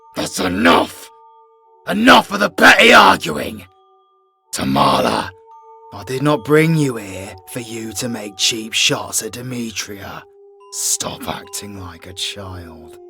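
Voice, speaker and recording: Put-on character voice from a man at medium pitch, fairly slow pace, faint music in the background. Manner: commanding, stern.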